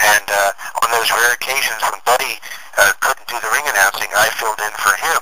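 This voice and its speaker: There is noticeable background noise as a man with an American accent talks with fairly even intonation. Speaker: public address announcer. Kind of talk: interview answer. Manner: casual, conversational, some hesitations.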